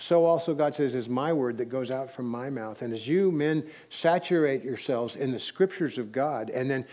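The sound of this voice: With its pitch varying an ordinary amount, an unforced reading voice comes through.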